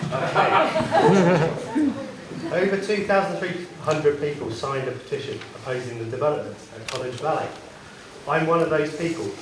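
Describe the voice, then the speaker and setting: A man talks at a moderate pace with a fairly high pitch and ordinary pitch variation. Audible room echo and noticeable background noise come through. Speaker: local resident and petition signer. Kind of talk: public meeting question. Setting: town council public meeting. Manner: quiet, trying to project. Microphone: too quiet, told to get closer to mic.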